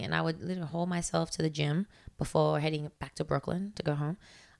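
In an Australian accent, a woman with a very deep, low pitch talks at a very fast pace with fairly even intonation. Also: very clean recording, silent background. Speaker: fitness coach. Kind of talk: casual chat.

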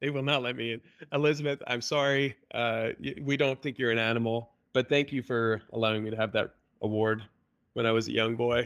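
A man speaks at a fairly quick pace with fairly even intonation. His medium-pitched voice is a plain, everyday voice. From Canada. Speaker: software company CEO. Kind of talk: casual interview. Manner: repeats words, restarts sentences.

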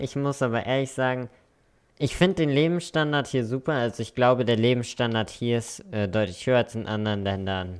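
This man keeps to a medium pitch and moderate speed, his pitch varying in an ordinary way. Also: very clean recording, silent background. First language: English and German bilingual (speaking German). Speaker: podcast co-host. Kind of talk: casual chat.

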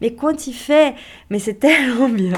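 A woman's voice, very cleanly recorded, against a silent background. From Brazil. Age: 30s. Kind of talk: testimony. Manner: halting, with many repetitions.

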